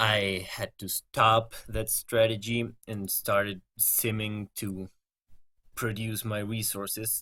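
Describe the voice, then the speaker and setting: On a very clean recording with a silent background, a man with a non-native accent speaks very slowly in a fairly low, bright, sharp voice with monotone, flat intonation. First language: not English. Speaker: gaming video creator. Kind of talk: gameplay commentary.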